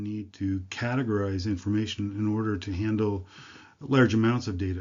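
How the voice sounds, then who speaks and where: A man speaks in an American accent with a fairly low pitch. His pace is moderate. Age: 60s. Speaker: university lecturer. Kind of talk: lecture. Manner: halting, many fillers.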